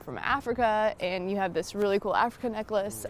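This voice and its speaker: In a normal speaking voice, a woman of medium pitch talks at a moderate pace with fairly even intonation. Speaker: sports sideline reporter. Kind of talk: sports sideline reporting and interview questions.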